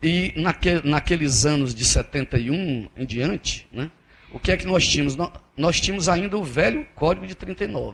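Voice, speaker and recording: A man with a normal speaking voice, fairly high in pitch, talks at a moderate pace with lively intonation. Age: 50s. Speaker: federal appellate judge. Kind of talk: keynote lecture. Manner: conversational, with frequent repetitions and false starts.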